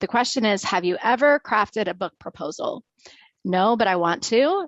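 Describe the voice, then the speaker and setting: A woman with an unremarkable speaking voice talks at a medium pitch and a moderate pace, in a dry, close sound with no echo and a quiet background. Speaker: webinar host. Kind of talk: webinar hosting. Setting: video call webinar.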